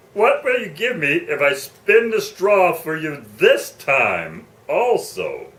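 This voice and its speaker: A man's put-on character voice at a fairly slow pace with hardly any pauses. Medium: read story.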